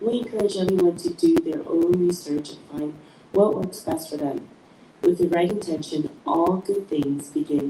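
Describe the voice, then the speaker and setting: Through noticeable background noise, a soft-spoken woman talks at a moderate pace and fairly low pitch with lively intonation. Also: big swings in loudness. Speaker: podcast host. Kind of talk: podcast introduction. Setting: live stream.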